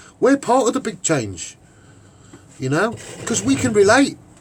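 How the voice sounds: Speaking at a moderate pace, a man has a Liverpool accent and a slightly husky edge. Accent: Liverpool Scouse.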